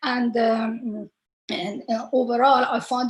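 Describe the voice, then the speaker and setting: With an Iranian accent, a woman speaks at a fairly high pitch with fairly even intonation. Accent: Iranian (Persian) English. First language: Persian. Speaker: researcher. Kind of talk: panel talk. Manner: halting, many fillers.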